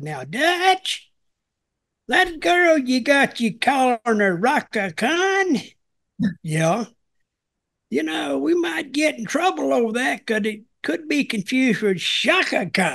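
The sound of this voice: A put-on character voice in a Southern US accent, pitched fairly high with very wide swings. It moves at a fairly slow pace, broken by long, frequent pauses. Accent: Southern American.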